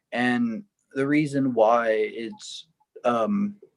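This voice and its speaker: A man speaks at a medium pitch with an American accent. His is an ordinary speaking voice with ordinary pitch variation. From Texas, San Antonio south side. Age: 20s. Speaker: singer-songwriter. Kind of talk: interview.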